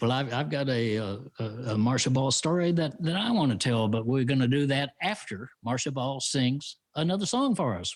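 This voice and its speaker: With a Texan accent, a man talks at a moderate pace, his intonation lively and his loudness very even. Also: medium pitch for a man. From Texas. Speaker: radio commentator and show host. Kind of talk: live-streamed casual chat show. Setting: live stream.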